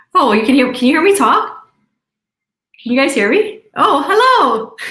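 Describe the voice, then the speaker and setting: The voice is raised and projected, with a bright, sharp tone and very wide pitch swings. The pace is moderate and the loudness very even. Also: woman, high pitch for a woman. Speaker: network marketing distributor. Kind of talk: video call Q&A.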